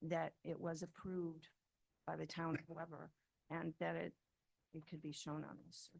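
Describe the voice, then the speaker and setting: A woman with a fairly low pitch and vocal fry talks at a moderate pace in a monotone, flat intonation, with long, frequent pauses. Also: big swings in loudness. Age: 60s. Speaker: property owner speaking at public hearing. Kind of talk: public comment at town meeting. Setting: town board meeting room.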